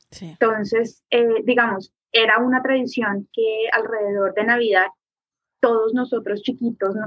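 Speaking at a moderate pace, a woman has a normal speaking voice with a fairly high pitch. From Colombia. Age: 30s. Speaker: artist. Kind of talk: casual interview.

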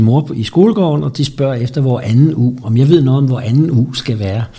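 Against noticeable background noise, a man speaks at a moderate pace with lively intonation and a medium pitch. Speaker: interviewee. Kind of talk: interview. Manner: halting.

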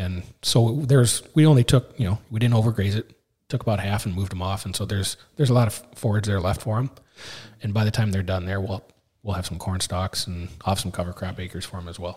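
In a very clean recording with a silent background, a man with an Upper Midwest accent speaks at a very fast pace, somewhat breathy and fairly low in pitch, with ordinary pitch variation. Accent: Upper Midwest American. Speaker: farmer. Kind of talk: casual chat. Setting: on location.

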